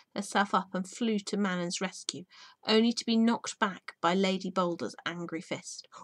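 Quiet background behind an unforced reading voice

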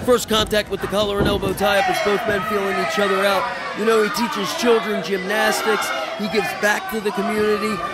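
Over crowd noise in the background, a man with a high pitch speaks fairly quickly with ordinary pitch variation. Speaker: wrestling commentator. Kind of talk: live wrestling commentary. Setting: live indie wrestling show, fire hall. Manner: excitable, punchy exclamations.

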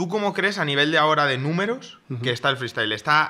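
Bright and sharp in tone, a man talks with ordinary pitch variation. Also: very clean recording, silent background. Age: 20s. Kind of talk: casual chat. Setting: studio.

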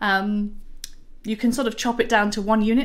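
With a Yorkshire accent and a fairly high pitch, a woman speaks at a moderate pace against a quiet background. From Yorkshire, northern England. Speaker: software developer advocate. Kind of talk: pre-recorded conference talk.

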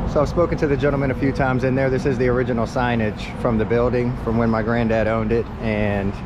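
A man talks at a very fast pace with hardly any pauses. The sound is dry with no echo, and there is noticeable background noise. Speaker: travel vlogger. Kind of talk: casual vlog chat. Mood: wistful, reflective. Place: street. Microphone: phone near.

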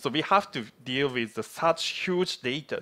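A man speaks with a Japanese accent in a bright, sharp tone. The background is quiet. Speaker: platform engineer. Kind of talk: conference presentation. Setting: stage with audience. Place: hall.

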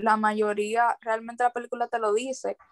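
A woman speaks with a fairly high pitch in a monotone, flat delivery. The background is quiet. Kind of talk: casual group discussion of a film. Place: home room. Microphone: video call.

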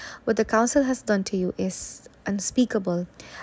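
The reading voice sounds natural. Pitch varies in an ordinary way.

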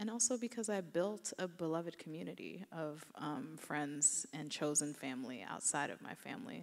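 Very deep, low female speech with vocal fry, moving at a moderate pace. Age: 30s. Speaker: novelist; author on a panel. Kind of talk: panel discussion. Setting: stage with audience. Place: hall. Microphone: handheld.

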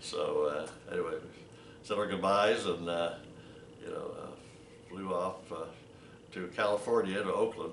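A man is speaking. Room echo is audible, along with light background noise. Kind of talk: interview answer. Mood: relaxed, chuckling. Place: home room.

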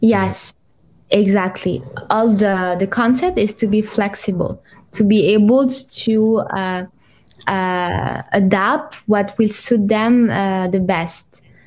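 The woman's voice sits at a medium pitch with ordinary pitch variation. She talks very slowly. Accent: French. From France, Paris. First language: French. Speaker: clinical psychologist. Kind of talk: interview. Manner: halting, many fillers.

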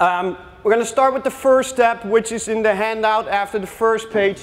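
A speaker with a Dutch accent talks at a moderate pace in a flat, monotone intonation. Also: man. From Netherlands. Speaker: youth soccer coach. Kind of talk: coaching workshop presentation with live drills. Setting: workshop with live audience. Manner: gives short brisk commands. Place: hall.

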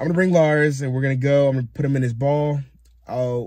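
A man's somewhat breathy voice is heard over a quiet background. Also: dry sound with no echo. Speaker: van-life vlogger. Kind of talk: casual vlog chat. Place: car. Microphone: phone near.

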